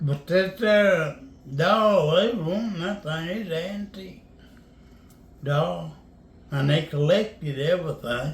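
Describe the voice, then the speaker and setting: A man with a high pitch and a Southern US accent speaks at a very slow pace, with ordinary pitch variation and long, frequent pauses. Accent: US South. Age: 80s+. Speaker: storyteller. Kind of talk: storytelling.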